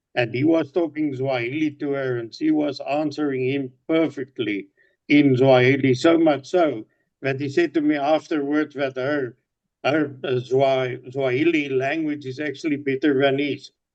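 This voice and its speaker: The speaker is a man with a fairly high pitch. His pace is moderate. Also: fairly even intonation. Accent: South African. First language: Afrikaans. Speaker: business owner. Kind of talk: casual video-call chat. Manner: repetitive, halting with fillers.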